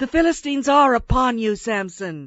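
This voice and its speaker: A woman's put-on character voice, high-pitched, at a moderate pace, with very wide pitch swings. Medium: audio drama.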